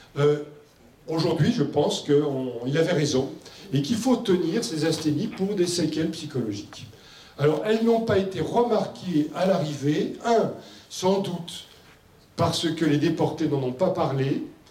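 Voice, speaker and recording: With noticeable background noise and audible room echo, a man speaks at a fairly slow pace in a fairly high voice, using lively intonation and long, frequent pauses. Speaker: medical doctor and expert speaker. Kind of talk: conference presentation. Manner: loud; hesitant with fillers.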